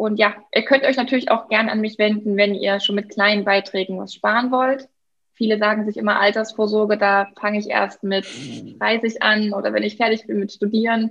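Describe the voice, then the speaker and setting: At a moderate pace, the speech stays monotone with flat intonation. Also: woman, fairly high pitch for a woman. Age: 20s. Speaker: financial advisor. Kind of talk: interview.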